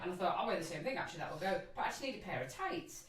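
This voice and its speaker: A woman speaks over noticeable background noise. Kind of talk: casual podcast chat.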